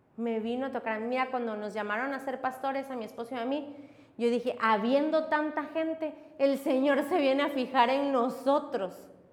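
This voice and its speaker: A woman's high-pitched voice at a moderate pace, with fairly even intonation and audible room echo. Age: 30s. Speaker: pastor. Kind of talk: sermon.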